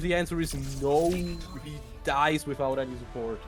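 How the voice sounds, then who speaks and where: Over music in the background, a man speaks in an excited, energetic tone. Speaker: esports caster. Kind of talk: fast play-by-play commentary.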